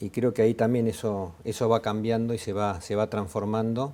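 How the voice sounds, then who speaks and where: A man's voice, dark and mellow in tone. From Argentina. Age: 50s. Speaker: business administrator in insurance. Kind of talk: conversational business discussion.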